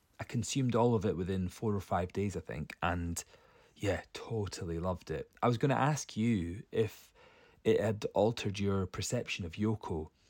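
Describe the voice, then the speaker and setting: An unremarkable speaking voice moves at a moderate pace with ordinary pitch variation, captured as a dry, close sound with no echo on a very clean recording with a silent background. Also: man, fairly low pitch for a man. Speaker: podcast guest. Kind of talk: recorded voice message.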